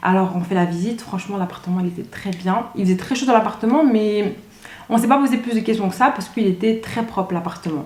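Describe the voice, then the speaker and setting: Against noticeable background noise and audible room echo, a woman with a strong Belgian accent speaks at a very fast pace in an animated tone and a fairly high pitch. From Belgium (Brussels area). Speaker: YouTuber. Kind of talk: casual storytelling vlog.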